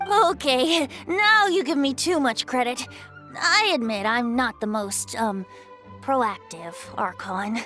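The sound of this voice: A woman's put-on character voice, high-pitched and bright and sharp in tone, slow-paced with ordinary pitch variation, over faint music in the background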